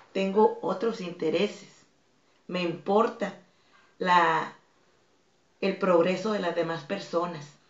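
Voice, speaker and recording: Very slow and full of long, frequent pauses, a woman's speech has fairly even intonation and a medium pitch. Audible room echo surrounds her voice. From Tijuana, Mexico. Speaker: fitness instructor and dance academy director. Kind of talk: interview.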